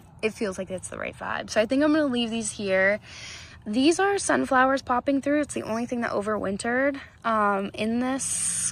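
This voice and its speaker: A woman speaks with a fairly high pitch. The variation in her pitch is ordinary. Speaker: home gardening vlogger. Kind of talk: casual garden tour vlog. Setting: outdoors in garden. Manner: fast.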